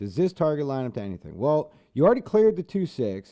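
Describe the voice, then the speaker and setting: Here is a man with a fairly high pitch. His tone is dark and mellow. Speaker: crypto trading streamer. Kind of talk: live stream chart analysis. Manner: casual, thinking aloud.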